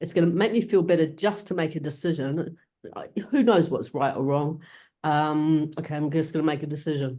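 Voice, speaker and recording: Against a quiet background, someone talks at a fairly quick clip. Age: 50s. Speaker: support group member. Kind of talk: peer support group discussion. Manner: halting.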